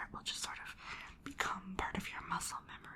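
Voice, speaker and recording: Whispering in a gentle tone, a woman keeps a moderate pace. Background noise is noticeable. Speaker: ASMR creator and brush lettering instructor. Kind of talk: instructional ASMR tutorial. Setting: indoors at a desk with rain sounds in the background. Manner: soft-spoken, whispering, gentle.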